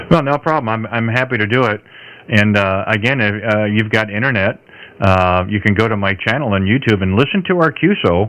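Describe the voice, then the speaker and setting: This man's pitch is fairly low, with ordinary variation. He talks at a fairly quick pace. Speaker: ham radio operator, livestream host. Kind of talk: ham radio on-air chat. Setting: amateur radio transmission.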